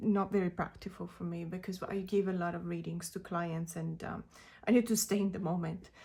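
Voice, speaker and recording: A woman speaks at a medium pitch and a fairly quick pace. Her tone is dark and mellow, her intonation monotone and flat. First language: not English. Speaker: tarot reader. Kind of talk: casual video talk about tarot decks. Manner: hesitant, many fillers.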